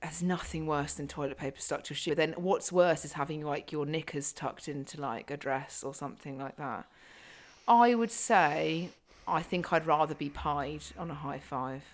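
Moderate pace and ordinary pitch variation, with a British accent. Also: woman, very deep, low pitch for a woman. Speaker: podcast host and fitness coach. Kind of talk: casual chat. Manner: talkative.

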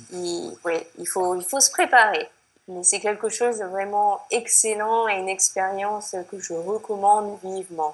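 A woman with a French accent and medium pitch talks at a very slow pace, her intonation fairly even and her loudness swinging a lot. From France. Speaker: expatriate. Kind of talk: interview. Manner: hesitant, many fillers.

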